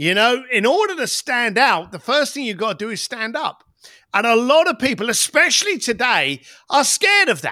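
A raised, projected voice moves at a moderate pace through very wide pitch swings on a very clean recording with a silent background. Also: man, extremely high pitch for a man. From East End of London. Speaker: entrepreneur and author. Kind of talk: podcast interview. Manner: animated.

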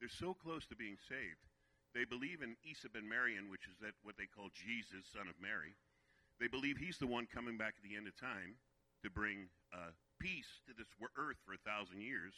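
Lively in intonation, a man with a fairly low pitch talks at a moderate pace. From Virginia, US. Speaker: guest preacher. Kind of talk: sermon. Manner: animated.

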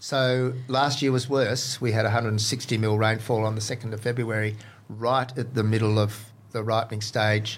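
A man with an Australian accent talks at a moderate pace and medium pitch, sounding somewhat breathy, with monotone, flat intonation. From Western Australia (Exmouth). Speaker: farmer and garden enthusiast, former chef. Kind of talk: casual interview.

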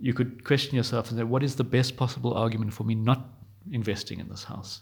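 A man talks at a fairly quick pace in a medium pitch. His voice is somewhat breathy, with monotone, flat intonation. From South Africa, Johannesburg. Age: 30s. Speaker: podcast host. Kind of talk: solo podcast monologue. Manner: hesitant with fillers.

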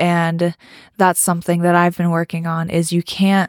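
At a moderate pace, a woman talks in a fairly low pitch, the sound dry and close with no echo. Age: young. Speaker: podcast host. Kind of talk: casual solo monologue.

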